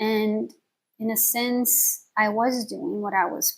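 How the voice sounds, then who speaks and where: A woman's fairly high voice comes through somewhat breathy. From Belgium. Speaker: vlogger. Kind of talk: personal vlog monologue. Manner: hesitant, many fillers.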